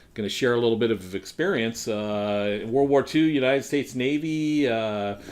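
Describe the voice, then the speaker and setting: Medium pitch, a moderate pace and ordinary pitch variation from a man with an ordinary speaking voice. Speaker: interviewer. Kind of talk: radio-style interview host.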